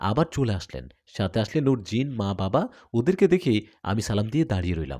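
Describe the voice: The recording is very clean, with a silent background. A man with a fairly low pitch and a dark, mellow tone speaks at a moderate pace, with big pitch swings.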